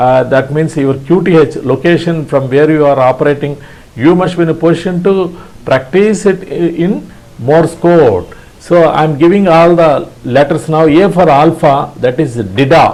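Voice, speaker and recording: A man speaks with an Indian accent at a fairly high pitch for a man. His loudness stays very even over noticeable background noise. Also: ordinary pitch variation, moderate pace. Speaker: ham radio instructor. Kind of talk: tutorial. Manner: halting.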